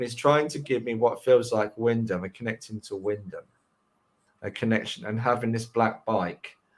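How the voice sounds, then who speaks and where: At a moderate pace and medium pitch, a man speaks with a slight London accent. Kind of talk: live mediumship reading.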